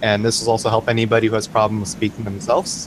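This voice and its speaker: A man at a fairly quick pace, his fairly low voice held to fairly even intonation, with noticeable background noise. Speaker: game master. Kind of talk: casual talk to camera.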